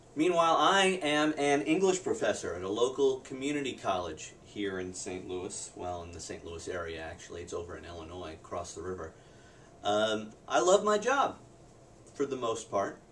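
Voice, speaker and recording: A man speaks at medium pitch with very wide pitch swings and big swings in loudness. Background noise is noticeable. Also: moderate pace. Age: 30s. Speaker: English professor, video blogger. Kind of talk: personal video diary.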